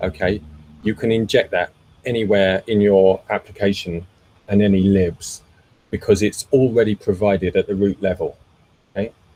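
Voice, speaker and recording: A man with a fairly low pitch and a dark, mellow tone speaks with fairly even intonation, leaving long, frequent pauses. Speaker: meetup host and tech presenter. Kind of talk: technical presentation with Q&A. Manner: slow; frequent fillers and repetitions.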